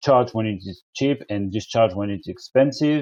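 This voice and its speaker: A man with a French accent speaks at a moderate pace, with ordinary pitch variation. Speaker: energy company representative. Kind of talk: webinar presentation. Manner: halting.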